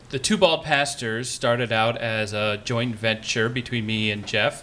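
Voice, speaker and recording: A man's medium-pitched voice, bright and sharp in tone, with fairly even intonation at a fairly slow pace. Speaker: pastor and podcaster. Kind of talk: panel discussion. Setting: stage with audience.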